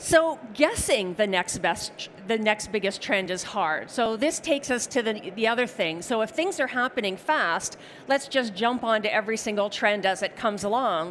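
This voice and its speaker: This woman has a plain, everyday voice with a Canadian accent and a fairly high pitch. She talks at a moderate pace with lively intonation. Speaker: technology strategist presenting a seminar. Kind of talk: conference presentation. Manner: conversational, casual fillers.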